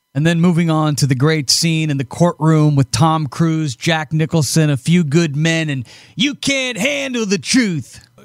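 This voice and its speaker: A man with an American accent at a fairly slow pace, fairly high-pitched for a man, with lively intonation and hardly any pauses. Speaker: show host. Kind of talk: interview. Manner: enthusiastic.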